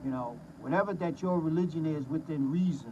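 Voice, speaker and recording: Somewhat breathy delivery at a moderate pace with ordinary pitch variation. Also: man. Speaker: former teacher and commentator. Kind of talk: casual monologue. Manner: repetitive, halting.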